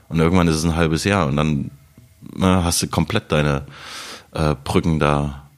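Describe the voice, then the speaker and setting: Over noticeable background noise, a man with a very deep, low pitch talks at a moderate pace, his loudness very even and his intonation fairly even, with long, frequent pauses. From Saxony, Radebeul near Dresden. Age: 30s. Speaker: TV writer and stand-up comedian. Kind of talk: casual chat.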